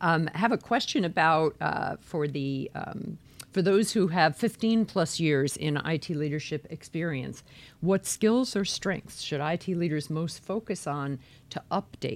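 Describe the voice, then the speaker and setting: A woman's unremarkable speaking voice, fairly low in pitch with lively intonation, at a fairly slow pace on a very clean recording against a silent background. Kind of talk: live interview.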